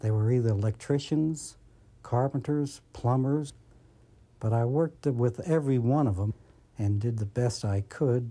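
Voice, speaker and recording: With an American accent, a man of medium pitch speaks at a moderate pace in a dark, mellow tone, with ordinary pitch variation and very even loudness on a very clean recording with a silent background. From Brooklyn, New York. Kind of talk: documentary interview testimony.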